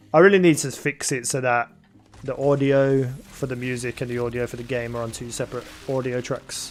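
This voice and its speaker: A man talks at a fairly quick pace. His medium-pitched voice keeps a fairly even intonation. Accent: Birmingham. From England, Birmingham. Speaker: gaming streamer. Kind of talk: live-stream chat while gaming. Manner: casual, rambling with fillers.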